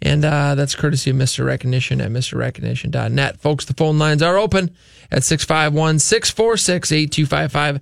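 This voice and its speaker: A man's fairly high-pitched voice, a normal speaking voice, with an American accent, at a moderate pace. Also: ordinary pitch variation, very clean recording, silent background. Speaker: radio real estate show host. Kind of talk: radio talk show. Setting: studio.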